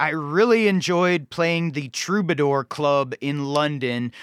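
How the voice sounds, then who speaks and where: A man speaks very slowly with ordinary pitch variation. The sound is dry and close with no echo, and the recording is very clean with a silent background. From Cleveland area, raised in Charlotte, North Carolina. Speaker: singer-songwriter. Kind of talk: interview. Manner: halting, many fillers and repeats.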